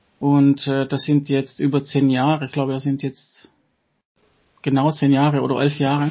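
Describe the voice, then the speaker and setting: The speaker has an Italian accent and keeps a moderate pace, with long, frequent pauses. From Italy, Trieste. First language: Italian (speaking German). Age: 50s. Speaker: coach. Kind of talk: casual interview chat.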